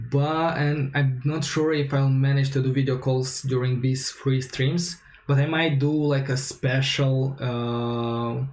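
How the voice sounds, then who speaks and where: Over noticeable background noise, a man with a non-native accent speaks at a very slow pace, fairly high in pitch, monotone and flat, with very even loudness. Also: hardly any pauses. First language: not English. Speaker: software developer, coding streamer. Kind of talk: live coding tutorial stream. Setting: livestream. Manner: hesitant, many fillers.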